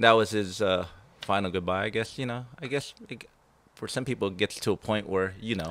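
This man has an ordinary speaking voice at a fairly low pitch. He talks at a fairly quick pace with ordinary pitch variation. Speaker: thrash metal guitarist. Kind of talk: casual interview chat.

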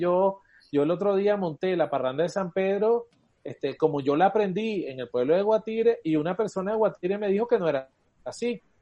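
A man's high-pitched voice at a fairly quick pace with lively intonation. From eastern Venezuela (Guayana, El Tigre). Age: 40s. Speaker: cuatro player and musician. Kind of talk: casual chat.

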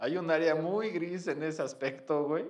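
With a Mexican accent and a fairly high pitch, a man speaks in audible room echo. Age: 30s. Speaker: podcaster. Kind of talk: casual chat.

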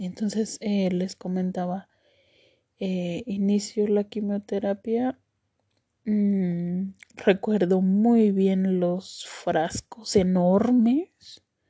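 A woman talks at a very slow pace in a medium pitch, somewhat breathy, with a dark, mellow tone and fairly even intonation. The sound is dry and close with no echo. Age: 30s. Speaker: cancer survivor podcaster. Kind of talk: personal testimony. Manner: hesitant, many fillers.

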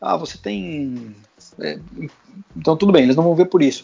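A man with a fairly high pitch at a moderate pace. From Brazil, Guarulhos (São Paulo). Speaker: former football club press officer, now sports training entrepreneur. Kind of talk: casual interview chat. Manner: hesitant, repeats words.

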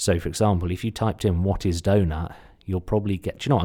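A man with a slight Suffolk accent speaks at a very fast pace in a very deep, low pitch, his somewhat breathy voice carrying a dark, mellow tone on a very clean recording with a silent background. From Suffolk, England. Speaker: podcast host and SEO marketer. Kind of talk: solo podcast talk, rerun of a presentation. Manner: animated, casual.

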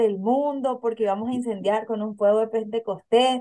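This woman has a fairly high pitch and a dark, mellow tone. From Paraguay. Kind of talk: interview.

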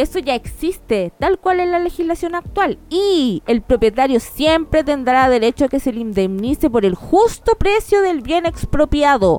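A woman talks at a high pitch with very wide pitch swings and hardly any pauses. The sound is dry and close, with no echo. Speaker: lawyer podcast host. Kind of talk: casual chat. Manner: joking, animated.

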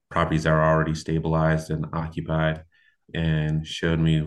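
This man has a very deep, low pitch and a West Coast US accent. His intonation is monotone and flat. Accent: US West Coast (General American). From Portland, Oregon. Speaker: construction company founder. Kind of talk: interview conversation.

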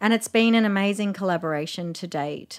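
With an Australian accent, a woman is talking. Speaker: festival founder.

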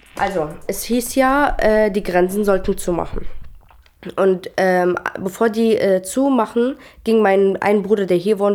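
A woman speaks at a very slow pace with an Arabic accent. Noticeable background noise runs underneath. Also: medium pitch for a woman, ordinary pitch variation. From Syria (Damascus). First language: Arabic (speaking German). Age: 20s. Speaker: trainee educator. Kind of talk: interview. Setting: at home.

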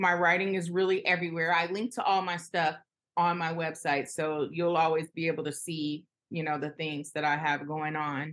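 An ordinary speaking voice from a woman with an American accent and fairly low pitch. Her intonation is fairly even, and her pace is moderate. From Los Angeles. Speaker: journalist. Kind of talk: interview.

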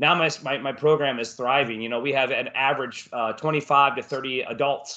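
A man with an American accent speaks at a moderate pace with hardly any pauses. His fairly high, bright and sharp voice stays monotone and flat. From Florida. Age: 40s. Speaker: martial arts instructor. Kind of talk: casual interview.

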